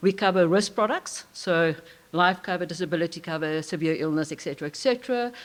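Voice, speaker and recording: Speaking at a fairly quick pace, a woman with a fairly low pitch uses ordinary pitch variation. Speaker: corporate IT leader. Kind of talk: conference talk. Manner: fast.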